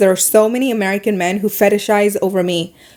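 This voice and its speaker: In a Middle Eastern accent, a woman speaks at a very fast pace with an animated tone and medium pitch. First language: not English. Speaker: podcast host and YouTuber. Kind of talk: casual monologue podcast.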